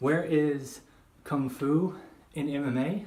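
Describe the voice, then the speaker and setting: Here a man is talking. His intonation is lively. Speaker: kung fu practitioner. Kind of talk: casual talk to camera. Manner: unscripted monologue.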